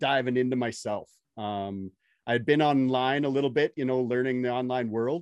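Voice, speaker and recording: A plain, everyday voice from a man, medium in pitch, with fairly even intonation at a moderate pace. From Canada. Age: 40s. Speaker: podcast host and electrician. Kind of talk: casual interview chat.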